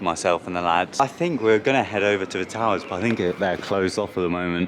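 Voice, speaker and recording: With an English accent, a man with a very deep, low voice talks at a very fast pace and with ordinary pitch variation. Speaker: theme park vlogger. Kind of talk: vlog narration. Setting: outdoors at theme park. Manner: quiet.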